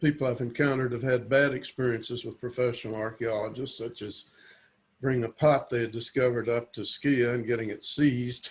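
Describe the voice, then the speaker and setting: A man's somewhat breathy, medium-pitched voice at a fairly quick pace, with fairly even intonation. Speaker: avocational archaeologist. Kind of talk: interview.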